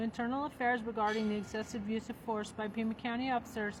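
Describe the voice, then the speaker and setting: Noticeable background noise fills the clip. Through it, a woman talks at a fairly quick pace. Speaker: political candidate and comedian. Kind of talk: reading aloud a legal document; casual vlog. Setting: law library. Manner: soft-spoken.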